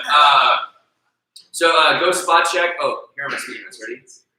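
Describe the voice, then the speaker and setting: A man speaks with audible room echo in the recording. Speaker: meetup organizer and host. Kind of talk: live event hosting. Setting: meetup venue with live audience. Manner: loud; casual, joking.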